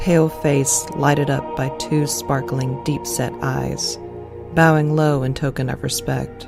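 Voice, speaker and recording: Over music in the background, a woman talks at a fairly slow pace with a very deep, low pitch and fairly even intonation. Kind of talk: audiobook reading of a classic horror story.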